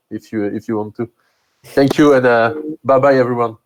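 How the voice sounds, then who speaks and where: This man speaks with a French accent. His intonation is fairly even. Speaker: meetup host. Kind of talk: live stream Q&A and closing. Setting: online live stream. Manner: halting, many fillers.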